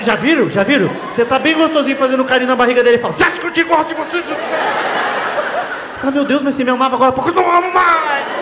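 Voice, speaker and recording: Over crowd noise in the background, a man talks very fast with ordinary pitch variation. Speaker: stand-up comedian. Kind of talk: stand-up comedy routine. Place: stage. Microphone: handheld.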